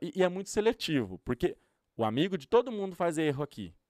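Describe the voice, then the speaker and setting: A man talks at a very fast pace. The recording is very clean, with a silent background, and the sound is dry and close with no echo. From Brazil, interior of São Paulo state. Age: 30s. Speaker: youtuber and influencer. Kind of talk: casual interview chat. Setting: studio.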